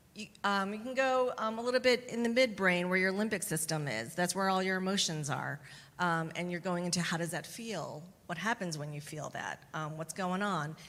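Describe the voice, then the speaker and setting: Here is a woman with an ordinary speaking voice and an American accent. She talks at a moderate pace in a medium pitch with lively intonation. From US Midwest, Chicagoland. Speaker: therapist. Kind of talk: Q&A panel answers.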